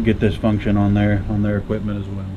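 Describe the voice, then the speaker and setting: Over noticeable background noise, a man with a fairly low voice talks at a very fast pace. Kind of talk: tutorial. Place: workshop.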